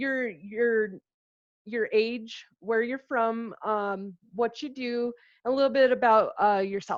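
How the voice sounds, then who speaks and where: With an American accent, a woman speaks very slowly at a fairly high pitch with fairly even intonation. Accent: sounds like Minnesota to others. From Albuquerque, New Mexico. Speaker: interview host. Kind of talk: interview. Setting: video call.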